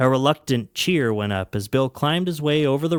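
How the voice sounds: Intonation here is lively. It comes from a natural reading voice.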